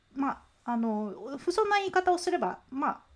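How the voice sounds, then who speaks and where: At a moderate pace, a woman speaks with very wide pitch swings in a very clean recording with a silent background. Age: 40s. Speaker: entrepreneur and business coach. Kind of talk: solo monologue podcast. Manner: casual, conversational with many fillers.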